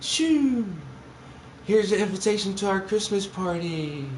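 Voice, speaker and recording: A man's put-on character voice, high-pitched and with lively intonation, at a moderate pace amid clear background noise. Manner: happy, cheerful.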